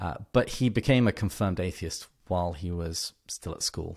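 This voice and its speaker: With an English accent, a man talks at a very deep, low pitch and ordinary pitch variation, in a very clean recording with a silent background. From England. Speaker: podcast host on an author, guest expert. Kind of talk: casual interview conversation.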